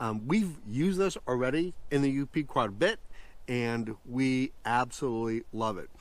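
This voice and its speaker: Lively in intonation and fairly slow in pace, a man's voice comes through dry with no echo. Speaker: camping vlogger. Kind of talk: casual vlog chat. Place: forest. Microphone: phone near.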